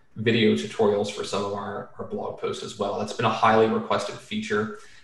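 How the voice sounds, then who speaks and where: Audible room echo surrounds fairly quick speech. Noticeable background noise runs underneath. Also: man. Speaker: computer vision educator and entrepreneur. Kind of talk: podcast interview. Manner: casual, with many fillers.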